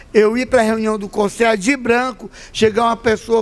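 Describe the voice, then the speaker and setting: Intonation fairly even, a man talks at a high pitch. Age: 60s. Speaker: Afro-Brazilian religious leader. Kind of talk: panel talk. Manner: impassioned.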